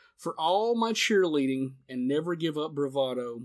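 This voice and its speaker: A man speaks with an American accent. His pitch is fairly high, with ordinary variation. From US Southeast. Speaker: podcast host. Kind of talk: casual chat. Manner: animated.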